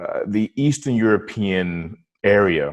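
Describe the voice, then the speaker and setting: A man speaks with an American accent at a fairly low pitch. His pitch variation is ordinary, and the background is quiet. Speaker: podcast host. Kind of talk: interview. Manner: halting, many fillers and restarts.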